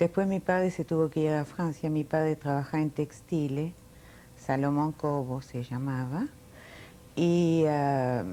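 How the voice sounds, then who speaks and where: A woman's very deep, low voice with a dark, mellow tone, fairly even intonation and a fairly slow pace. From France (Paris), born in Milan. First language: Italian, then French (speaking Spanish). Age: 60s. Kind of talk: oral history interview.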